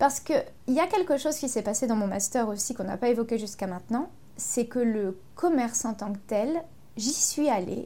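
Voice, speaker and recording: This woman's fairly high voice has a dark, mellow tone, ordinary pitch variation and a fairly slow pace. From Ardennes, France. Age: 30s. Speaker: yoga teacher. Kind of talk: interview.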